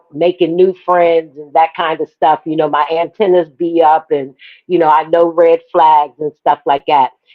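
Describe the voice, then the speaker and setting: At a moderate pace, a woman talks in a plain, everyday voice with a fairly low pitch. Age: 60s. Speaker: panelist on women's talk show. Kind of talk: casual chat.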